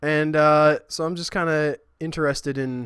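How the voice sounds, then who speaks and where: This man speaks with a fairly high pitch. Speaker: gaming live streamer. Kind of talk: casual live-stream gaming chat. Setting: live stream with chat. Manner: rambling, halting with self-corrections.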